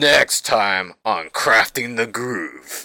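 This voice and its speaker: A man puts on a dramatic character voice at a medium pitch. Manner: dramatic, deep, announcer cadence.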